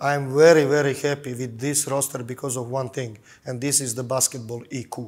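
A man speaks at a moderate pace in a monotone, flat intonation. The background is quiet. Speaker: basketball head coach. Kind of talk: interview. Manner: halting. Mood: calm, thoughtful. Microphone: lapel.

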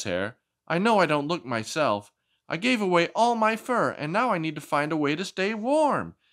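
At a moderate pace, the speaker puts on a character voice. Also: man, high pitch for a man. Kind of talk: read-aloud picture book voice. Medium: read story.

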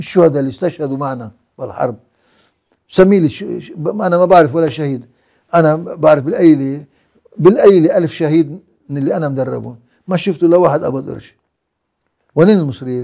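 At a moderate pace with long, frequent pauses, a man speaks in a dark, mellow tone at a fairly high pitch, with ordinary pitch variation, big swings in loudness and a quiet background. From Lebanon. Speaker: war veteran and founder of a militia organization; interviewee. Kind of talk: interview. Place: home room.

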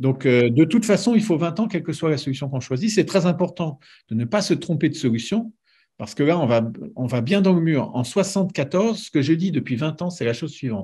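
A man speaks with a dark, mellow tone and lively intonation at a moderate pace. The background is quiet. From France, Paris region; France. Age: 60s. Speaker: nuclear engineer; guest. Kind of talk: casual interview. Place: home room. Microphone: video call.

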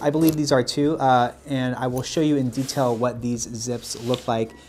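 A man is speaking. Faint music can be heard in the background. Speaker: style channel host. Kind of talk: product review. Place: studio.

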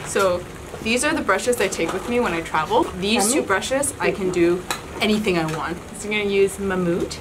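Through noticeable background noise, a woman speaks at a fairly quick pace with lively intonation. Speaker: beauty YouTuber. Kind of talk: casual chat. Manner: laughing often; loud. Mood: cheerful, playful. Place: home room. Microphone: camera far.

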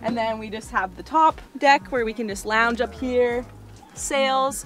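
A woman speaks over faint music in the background. The sound is dry with no echo. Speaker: travel vlogger. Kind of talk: casual vlog chat. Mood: relaxed and cheerful. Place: boat. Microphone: phone near.

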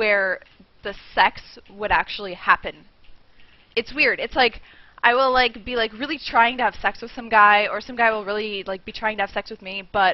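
Here a woman talks at a fairly quick pace with ordinary pitch variation. The sound is dry, with no echo. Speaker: streamer. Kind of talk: casual vlog chat. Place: home room. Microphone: headset.

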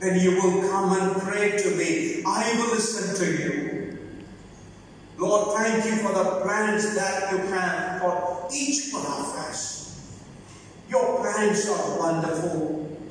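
A woman speaks at a very slow pace. Strong room echo and light background noise surround her voice. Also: medium pitch for a woman, ordinary pitch variation. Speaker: prayer leader in a migrant worker church. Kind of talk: fervent closing prayer and benediction at a church service. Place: church. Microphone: podium.

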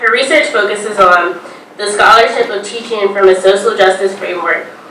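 A woman at a fairly quick pace, ordinary pitch variation, audible room echo and light background noise. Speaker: event host introducing speaker. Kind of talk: formal introduction. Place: classroom. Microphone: podium.

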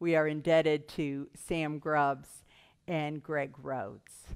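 Very slowly, a woman speaks. The background is quiet. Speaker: minister. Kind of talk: worship welcome and announcements. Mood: warm, calm. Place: church. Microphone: headset.

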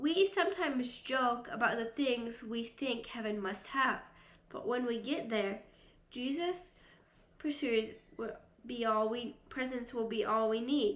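A woman speaks fairly slowly in a high pitch, with ordinary pitch variation. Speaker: youth Bible teacher. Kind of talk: Bible lesson. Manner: animated. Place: home room. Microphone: phone near.

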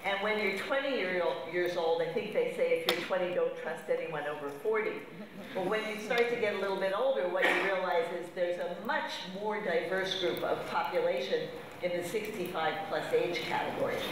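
A woman at a moderate pace, with strong room echo and noticeable background noise. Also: ordinary pitch variation. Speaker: conference speaker. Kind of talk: lecture. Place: hall.

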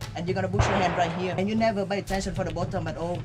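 A man's voice with music in the background. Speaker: tour guide. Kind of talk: guided tour explanation. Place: street. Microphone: camera far.

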